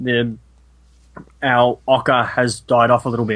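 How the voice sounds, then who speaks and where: With an Australian accent, a man is talking. His voice lands at a medium pitch. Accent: Australian, milder than broad ocker. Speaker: podcast guest, film discussion. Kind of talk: casual chat.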